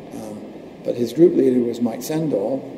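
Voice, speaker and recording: Against noticeable background noise, a man speaks at medium pitch with fairly even intonation. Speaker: computer networking engineer. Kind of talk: interview.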